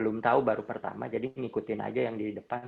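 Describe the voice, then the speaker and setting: A man speaks with vocal fry in a West Javanese accent. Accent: Sundanese. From Indonesia, Bandung (West Java). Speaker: trail runner. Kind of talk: interview.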